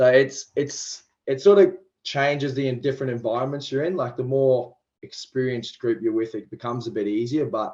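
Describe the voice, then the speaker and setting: Speaking at a fairly quick pace with an Australian accent, a man uses a medium pitch and ordinary pitch variation. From Queensland, Australia (Toowoomba). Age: 20s. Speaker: professional rugby league player. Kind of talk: podcast interview. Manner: talkative.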